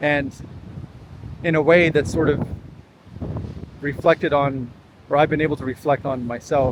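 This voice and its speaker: Amid noticeable background noise, a man talks at a moderate pace with fairly even intonation and long, frequent pauses. His pitch is fairly high. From California. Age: 40s. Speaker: vlogger. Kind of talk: casual vlog monologue. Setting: outdoors walk at a beach. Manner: halting, many fillers and repeats.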